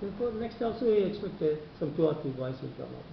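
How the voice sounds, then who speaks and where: Talking at a very fast pace with lively intonation, a man is heard with audible room echo and noticeable background noise. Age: 70s. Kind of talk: interview.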